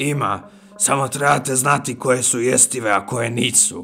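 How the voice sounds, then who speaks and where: Putting on a character voice, a man speaks raspy at a medium pitch. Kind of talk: horror radio drama. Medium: audio drama. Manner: folksy, friendly.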